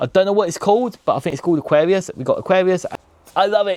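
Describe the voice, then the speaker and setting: A man speaks in an animated tone at a very fast pace. His pitch is high, with ordinary pitch variation. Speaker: travel vlogger. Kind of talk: casual vlog narration.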